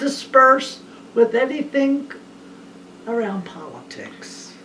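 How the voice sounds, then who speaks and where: There is noticeable background noise as a woman speaks with a high pitch. She talks at a very slow pace with long, frequent pauses. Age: 80s+. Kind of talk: family conversation.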